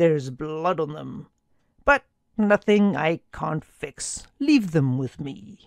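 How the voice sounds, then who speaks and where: Using a put-on character voice, a woman speaks at a very slow pace in a very deep, low pitch, with lively intonation and big swings in loudness, the sound dry and close with no echo. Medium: read story. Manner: calm, few words.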